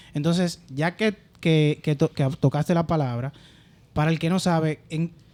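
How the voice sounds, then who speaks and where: A man with an ordinary speaking voice and a fairly high pitch speaks at a fairly slow pace with fairly even intonation and very even loudness, recorded very cleanly against a silent background with a dry, close sound and no echo. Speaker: podcast host. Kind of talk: podcast interview.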